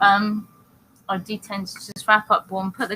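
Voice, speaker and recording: Woman with a British accent, medium pitch and a bright, sharp tone. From Britain. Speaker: talk show co-host. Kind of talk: casual chat. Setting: live online talk show.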